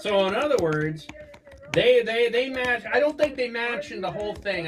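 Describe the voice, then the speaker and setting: Someone speaks in an American accent over noticeable background noise. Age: 60s. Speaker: finance commentator. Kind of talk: live show discussion. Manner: halting.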